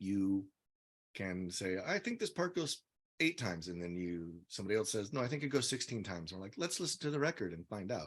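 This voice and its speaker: A fairly low-voiced man at a fairly quick pace with very wide pitch swings, on a very clean recording with a silent background. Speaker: musician, drummer and singer. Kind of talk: casual interview. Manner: halting.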